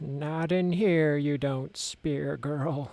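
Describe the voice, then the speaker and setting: A croaky, put-on character voice with fairly even intonation comes through in a very clean recording with a silent background. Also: man, fairly high pitch for a man. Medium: read story.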